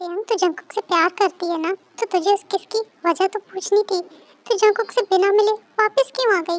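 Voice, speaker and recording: A woman performs a put-on character voice at an extremely high pitch, with fairly even intonation. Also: fairly quick pace, dry, close sound with no echo. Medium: fan dub. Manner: warm, informal.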